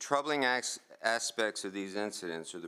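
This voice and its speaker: A man speaks in a fairly low voice with a bright, sharp tone. His pitch variation is ordinary. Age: 70s. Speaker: resident speaking at public comment. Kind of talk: public comment at county meeting. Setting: county commissioners meeting. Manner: reading a prepared statement.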